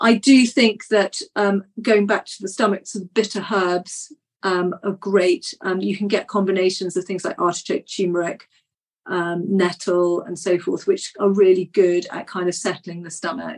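A woman with an ordinary speaking voice, medium in pitch, at a moderate pace with fairly even intonation and big swings in loudness. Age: 50s. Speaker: naturopath. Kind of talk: interview.

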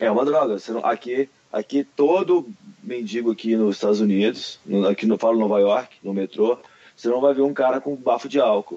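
Normal speaking voice of a man at medium pitch, moderate pace, dry and close with no echo. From Brasília, Brazil. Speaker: martial arts athlete and instructor. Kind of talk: casual chat.

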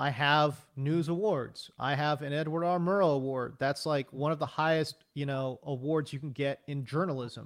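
A fairly high-pitched man talks at a moderate pace with hardly any pauses, on a very clean recording with a silent background. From US, raised from age one after birth in South Korea. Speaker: sports broadcaster and journalist. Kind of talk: interview. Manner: animated.

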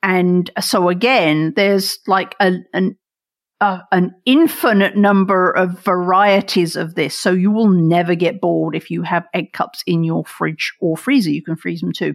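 Very cleanly recorded against a silent background, a woman speaks fairly slowly with an American accent. Her pitch is medium, with ordinary variation. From England. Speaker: chef. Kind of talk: casual chat.

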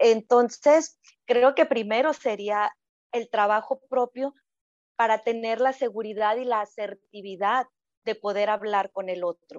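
Fairly high in pitch, a woman speaks at a fairly slow pace with ordinary pitch variation. The sound is dry and close, without echo. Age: 40s. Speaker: sexologist. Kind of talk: casual chat.

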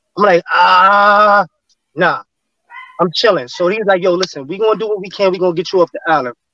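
An animated, high-pitched man's voice with a New York accent, dry and close with no echo. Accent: New York City street. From New York City, Flatbush Brooklyn. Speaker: former gang member. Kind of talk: casual interview storytelling.

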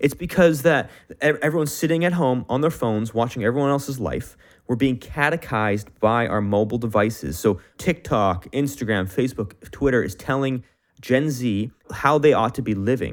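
A plain, everyday voice with a Canadian accent speaks at a moderate pace with lively intonation. The recording is very clean, with a silent background. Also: man, medium pitch for a man. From Canada. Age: 20s. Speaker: podcast host. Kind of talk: interview.

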